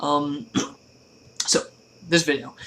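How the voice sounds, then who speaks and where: Quiet and bright, with a sharp tone, a man speaks at a moderate pace. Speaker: YouTube vlogger. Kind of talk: casual rant to camera. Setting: at home at night.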